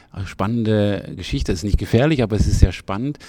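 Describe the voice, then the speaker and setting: Dark and mellow in tone, a man speaks at a fairly low pitch. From Freiburg, southwestern Germany. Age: 60s. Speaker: festival director. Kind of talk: interview. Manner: halting, many fillers.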